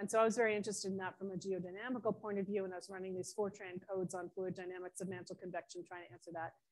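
A woman with an American accent at a very fast pace. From US Northeast (Ithaca, New York); New York. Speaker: planetary scientist; invited lecturer. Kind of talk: lecture. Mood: enthusiastic storytelling. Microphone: video call.

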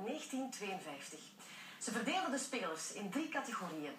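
A woman speaks with a high pitch. Audible room echo and light background noise surround her voice. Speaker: TV presenter. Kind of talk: TV news presentation. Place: studio.

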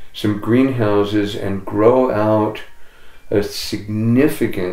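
A man's very slow, fairly low-pitched voice with fairly even intonation, audible room echo and light background noise. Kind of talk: interview answer. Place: home room.

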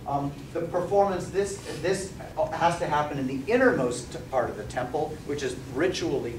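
A man speaks with ordinary pitch variation. Noticeable background noise can be heard. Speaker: lecturer. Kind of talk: lecture. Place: classroom. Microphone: camera far.

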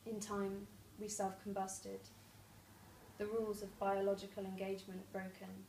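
A woman's nervous tone at a moderate pace, monotone and flat, with audible room echo and light background noise. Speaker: poet. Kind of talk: spoken word poetry, reading aloud own poem with flowing, vivid science imagery. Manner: nervous at first, then lyrical and measured; laughs and stumbles mid-poem. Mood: calm, measured. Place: home room. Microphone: camera far.

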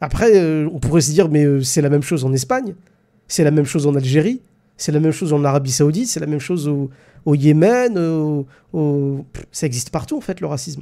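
A man talks at a fairly quick pace with a fairly high pitch and a dark, mellow tone. The background is quiet. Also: ordinary pitch variation. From France. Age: 30s. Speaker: live stream host. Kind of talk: live stream discussion with callers. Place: home room. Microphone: studio mic.

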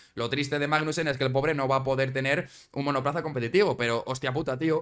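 Against a quiet background, a man with a fairly high pitch talks at a very fast pace. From Spain. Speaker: Formula 1 YouTuber. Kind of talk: casual commentary video. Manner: animated.

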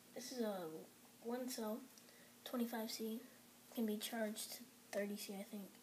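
Over light background noise, a woman speaks fairly slowly with monotone, flat intonation. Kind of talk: casual unboxing commentary. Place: home room. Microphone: camera far.

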